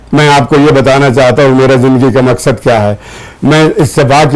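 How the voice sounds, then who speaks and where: A man's fairly high voice comes through over noticeable background noise. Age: 80s+. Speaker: university chancellor. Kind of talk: TV interview. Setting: studio.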